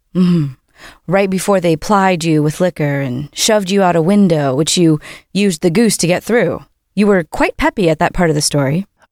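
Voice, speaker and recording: This is an ordinary speaking voice at a moderate pace, with very even loudness and ordinary pitch variation. The sound is dry and close with no echo, in a very clean recording with a silent background. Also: woman, fairly low pitch for a woman. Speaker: ad reader. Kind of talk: sponsor ad read.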